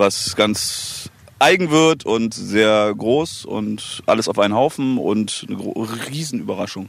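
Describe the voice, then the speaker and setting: A man talks at a very slow pace, and the sound is dry with no echo. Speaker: rapper. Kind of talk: casual interview. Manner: giggly. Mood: relaxed, joking. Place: waterside. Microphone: handheld.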